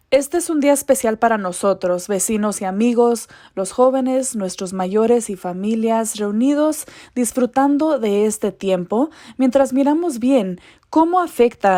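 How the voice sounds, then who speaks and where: With a dark, mellow tone and lively intonation, a woman speaks fairly slowly at a fairly high pitch on a very clean recording with a silent background. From Colorado, US. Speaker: journalist, event host. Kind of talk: scripted event welcome.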